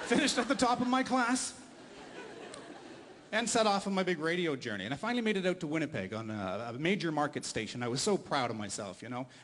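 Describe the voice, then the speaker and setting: A high-pitched man talks at a very fast pace with very wide pitch swings. Noticeable background noise runs underneath. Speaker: stand-up comedian and radio host. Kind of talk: stand-up comedy set for a live audience.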